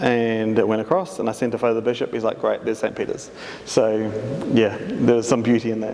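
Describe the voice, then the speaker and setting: Over noticeable background noise, a man of medium pitch talks very fast with fairly even intonation. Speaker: artist. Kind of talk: public talk.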